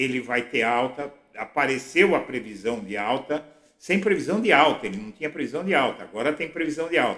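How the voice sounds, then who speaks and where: The man's voice sits at a fairly high pitch and has a bright, sharp tone. His pitch swings very widely. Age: 60s. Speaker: political blogger. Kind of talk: political commentary monologue.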